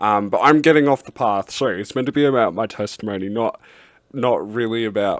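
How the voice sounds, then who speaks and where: A man with an Australian accent speaks at a moderate pace with ordinary pitch variation, in a dry, close sound with no echo on a very clean recording with a silent background. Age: adult. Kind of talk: testimony. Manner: halting, many fillers.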